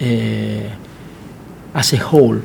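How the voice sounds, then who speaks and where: A man with an Argentine accent speaks at a very slow pace and with fairly even intonation. Background noise is noticeable. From Argentina. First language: Spanish. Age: 40s. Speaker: plastic surgeon. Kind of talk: interview. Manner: halting.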